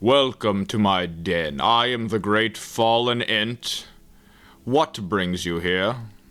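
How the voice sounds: A man speaks very slowly in a put-on character voice, fairly low-pitched and rumbling.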